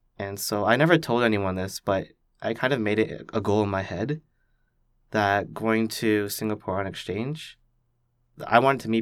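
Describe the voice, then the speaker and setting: With a Canadian accent, a man in a plain, everyday voice speaks at a fairly low pitch and a moderate pace, in a very clean recording with a silent background. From Canada. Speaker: student. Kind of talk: interview. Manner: reflective.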